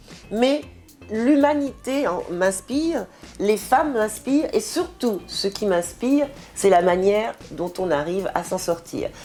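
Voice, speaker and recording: A woman's fairly high voice at a very slow pace, with very wide pitch swings and music in the background. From Martinique. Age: 60s. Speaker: writer. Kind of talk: interview.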